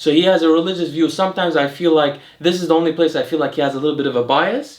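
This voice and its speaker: The speaker has an American accent and a fairly even intonation. The pace is very fast. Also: man, fairly high pitch for a man. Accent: American accent when saying French words. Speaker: health and longevity YouTuber. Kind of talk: casual educational chat. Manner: casual with many fillers and restarts.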